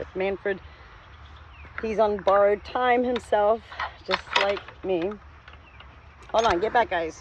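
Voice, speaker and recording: A woman speaks at a fairly slow pace with fairly even intonation and long, frequent pauses, over noticeable background noise. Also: medium pitch for a woman. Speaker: spiritual vlogger. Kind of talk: casual vlog monologue. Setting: outdoors on a farm. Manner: rambling, jumps between topics.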